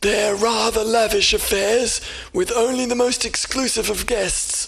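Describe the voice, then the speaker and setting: In a put-on character voice pitched extremely high, a man talks at a moderate pace. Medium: read story. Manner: formal, measured.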